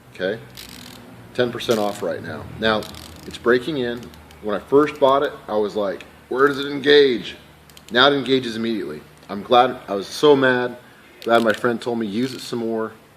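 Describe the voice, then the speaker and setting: Medium pitch from a man, with ordinary pitch variation, big swings in loudness, long and frequent pauses and noticeable background noise. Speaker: professional mechanic reviewing tools. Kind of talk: casual tool review. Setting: at work shop. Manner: fast; hesitant with fillers and restarts.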